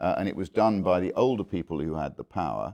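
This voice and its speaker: A man speaks with a dark, mellow tone, vocal fry and lively intonation at a moderate pace. The sound is dry and close with no echo, over a quiet background. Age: 60s. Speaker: former politician. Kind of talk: interview. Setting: conference venue. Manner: halting.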